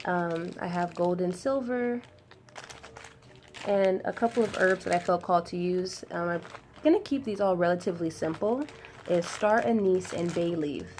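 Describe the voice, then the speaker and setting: Over noticeable background noise, a woman speaks at a medium pitch with ordinary pitch variation and long, frequent pauses. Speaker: spiritual ritual guide. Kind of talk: tutorial. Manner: fast.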